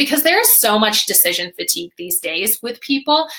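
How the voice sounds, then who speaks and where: A woman speaks at a fairly quick pace with very wide pitch swings. There is noticeable background noise. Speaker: social media marketing webinar host. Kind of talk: live webinar presentation. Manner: fast; animated.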